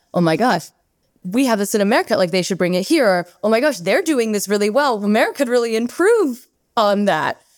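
With an unremarkable speaking voice, a woman talks at a fairly quick pace and fairly high pitch, her intonation lively and her loudness very even. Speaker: podcast host. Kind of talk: interview conversation.

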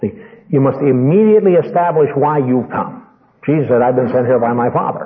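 Lively intonation marks this man's ordinary speaking voice. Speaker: preacher teaching ministers. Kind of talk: teaching sermon to ministry students. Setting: live meeting with audience.

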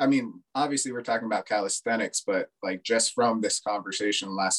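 A man's unremarkable speaking voice, fairly low in pitch, fairly even in intonation and fairly quick in pace, with a dry, close sound and no echo. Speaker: podcast host, mental health counselor. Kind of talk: interview conversation.

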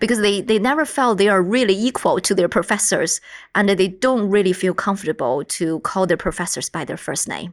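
In a very clean recording with a silent background, a woman with a Chinese accent speaks fairly quickly at a medium pitch with lively intonation. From China. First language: Mandarin. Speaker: university professor and researcher. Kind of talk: interview about research.

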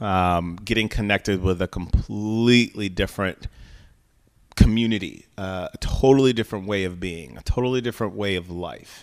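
In a very clean recording with a silent background, a man with an American accent and a normal speaking voice talks at a moderate pace and fairly low pitch, with ordinary pitch variation and big swings in loudness. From Chicago, US Midwest. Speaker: entrepreneur and club membership director. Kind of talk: casual interview. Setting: studio, video recorded.

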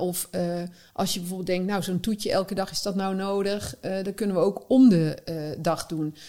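Her tone is dark and mellow as the woman speaks at medium pitch and a moderate pace with ordinary pitch variation. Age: 40s. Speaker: eating psychologist. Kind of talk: casual interview.

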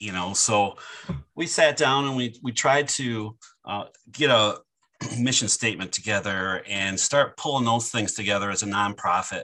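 A man speaks with a Midwestern American accent. His tone is bright and sharp. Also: medium pitch for a man, ordinary pitch variation, moderate pace. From southern Michigan, near the Ohio and Indiana border. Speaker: college food service director and chef. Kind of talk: casual interview.

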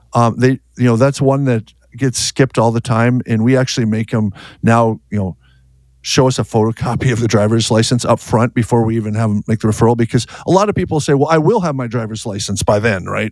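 With an American accent and a plain, everyday voice, a man talks at a fairly quick pace and medium pitch, with ordinary pitch variation, in a dry, close sound with no echo on a very clean recording with a silent background. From US Upper Midwest, North Dakota. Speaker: auto repair shop owner. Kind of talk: interview.

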